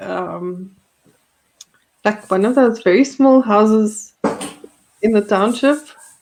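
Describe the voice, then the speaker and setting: A woman with a South African accent speaks at a very slow pace, her intonation lively. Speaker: podcast host. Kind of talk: casual chat.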